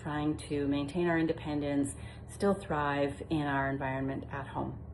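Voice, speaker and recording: Very deep, low pitch from a woman, fairly slow in delivery, amid audible room echo. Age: 60s. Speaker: retirement home manager turned vlogger. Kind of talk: casual informative vlog talk. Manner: conversational with frequent fillers.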